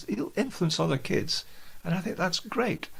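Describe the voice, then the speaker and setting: A man with a Scottish accent, very wide pitch swings and vocal fry, at a moderate pace. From Scotland, Aberdeenshire coast. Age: 70s. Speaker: jazz pianist and educator. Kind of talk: interview.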